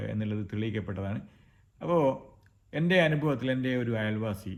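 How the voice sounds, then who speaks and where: A man with a fairly low pitch and ordinary pitch variation speaks in a plain, everyday voice. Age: 50s. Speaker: health video creator. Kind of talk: informal talk to camera.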